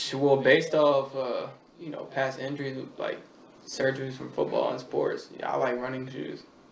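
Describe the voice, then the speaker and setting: Big swings in loudness mark this man's speech at a moderate pace. Audible room echo and noticeable background noise fill the recording. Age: 20s. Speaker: podcast guest. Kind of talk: casual chat.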